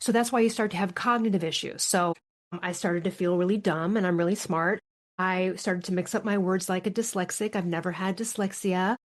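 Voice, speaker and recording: A woman with an American accent talks at a fairly quick pace and medium pitch. The background is quiet. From US Midwest. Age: 50s. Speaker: thyroid health author. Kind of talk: podcast interview. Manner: fast; animated.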